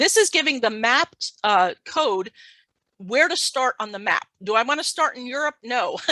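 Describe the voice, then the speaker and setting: A woman with a high pitch and a bright, sharp tone speaks with very wide pitch swings, in a dry, close sound with no echo against a quiet background. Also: moderate pace. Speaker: data science lecturer. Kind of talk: technical tutorial talk.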